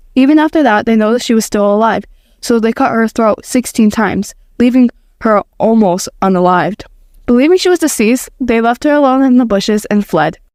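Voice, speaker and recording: A woman talks in an ordinary speaking voice, fairly high-pitched, with lively intonation at a fairly quick pace. Her loudness stays very even, and the sound is dry and close with no echo. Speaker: podcast narrator. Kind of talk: true crime narration.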